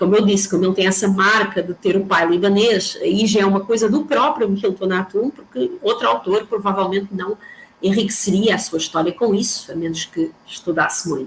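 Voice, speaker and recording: Noticeable background noise runs under the speech. There are hardly any pauses. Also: woman, medium pitch for a woman, ordinary pitch variation, moderate pace. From Portugal. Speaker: professor. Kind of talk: lecture.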